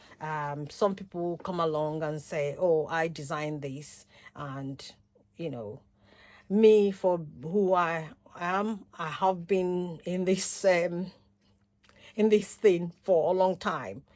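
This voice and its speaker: On a very clean recording with a silent background, a woman with a fairly low pitch talks at a very slow pace, with ordinary pitch variation and big swings in loudness. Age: 60s. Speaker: paper crafter and retired midwife. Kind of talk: casual self-introduction vlog. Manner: halting, many fillers.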